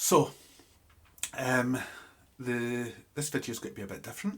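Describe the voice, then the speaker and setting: The speech moves at a moderate pace. The voice sounds somewhat breathy. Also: man. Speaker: ecologist and wildlife educator. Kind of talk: video diary. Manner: halting, many fillers.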